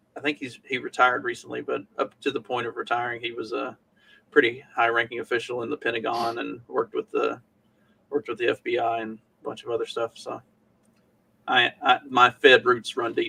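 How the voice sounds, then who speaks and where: A man with a strong Southern US accent at a fairly quick pace, the sound dry and close with no echo. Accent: thick Southern US. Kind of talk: casual chat.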